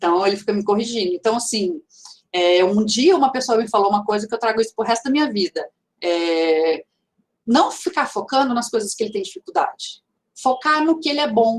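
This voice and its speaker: Her pitch fairly high, a woman talks at a fairly quick pace with very wide pitch swings. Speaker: teacher and speaker. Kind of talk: lecture. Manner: halting, many fillers and restarts.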